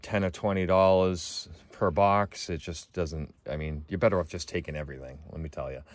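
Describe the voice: Against a silent background on a very clean recording, a man speaks low at a moderate pace with fairly even intonation.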